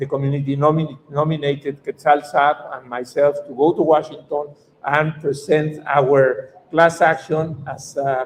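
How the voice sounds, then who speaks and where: A man speaks with a Mexican accent at a fairly high pitch and moderate pace. Noticeable background noise is present. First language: Spanish. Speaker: activist lawyer. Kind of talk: conference talk. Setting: conference panel. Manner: halting.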